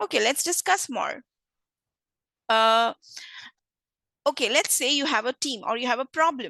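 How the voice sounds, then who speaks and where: Raised and projected, a woman's high voice has a bright, sharp tone and lively intonation, with long, frequent pauses. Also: moderate pace, dry, close sound with no echo. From India. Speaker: corporate trainer. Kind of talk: online training session.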